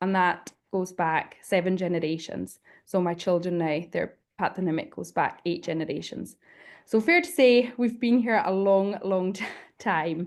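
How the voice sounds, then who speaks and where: With a Hebridean accent, a woman speaks at a medium pitch and moderate pace, her pitch varying in an ordinary way against a quiet background. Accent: Hebridean Scottish. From Isle of Lewis, Scotland. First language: Scottish Gaelic. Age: 20s. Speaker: panelist, community worker. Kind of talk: panel presentation.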